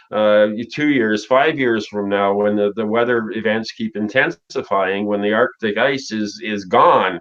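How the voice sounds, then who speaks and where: A man speaks in a normal speaking voice. His pitch is medium and his pace moderate. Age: 60s. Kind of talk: casual chat.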